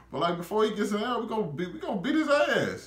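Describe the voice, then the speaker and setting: A man talks at a fairly quick pace in an animated tone. Room echo is audible. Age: 20s. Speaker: YouTuber reviewer. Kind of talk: casual video review monologue. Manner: animated, informal. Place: home room.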